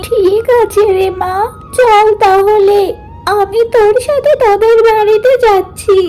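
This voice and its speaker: In a cartoonish character voice, a woman talks at an extremely high pitch and a very slow pace, her intonation fairly even over clear background noise. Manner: humble, tired.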